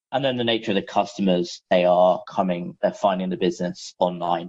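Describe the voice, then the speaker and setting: The sound is dry and close, without echo, and the background is quiet. A man speaks very fast. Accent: London. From London, England. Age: 30s. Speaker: business founder, M&A broker. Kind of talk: interview.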